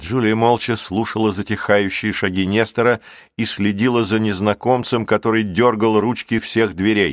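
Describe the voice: Intonation stays fairly even here. It is plain reading aloud.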